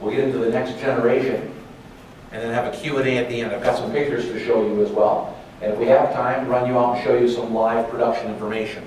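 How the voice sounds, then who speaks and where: With audible room echo and noticeable background noise around him, a man talks very fast. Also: medium pitch for a man, ordinary pitch variation. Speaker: sales representative presenting at a conference. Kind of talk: conference presentation.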